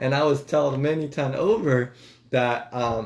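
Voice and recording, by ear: The speaker is a man at a medium pitch for a man, with ordinary pitch variation. His pace is fairly slow.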